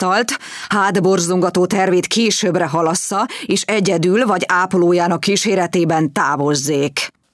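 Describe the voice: The delivery is plain reading aloud. It stays plain reading aloud throughout.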